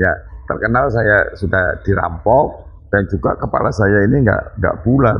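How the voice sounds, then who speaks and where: Over music in the background, a man talks at a fairly low pitch with ordinary pitch variation and very even loudness. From Banyuwangi, East Java (Osing area). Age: 50s. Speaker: local party chairman. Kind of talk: interview. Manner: somewhat loud, hard-toned speech.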